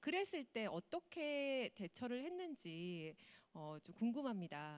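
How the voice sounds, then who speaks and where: At a very slow pace, a woman speaks in a fairly high pitch with a dry, close sound and no echo. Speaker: moderator, TV announcer. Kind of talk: panel moderation.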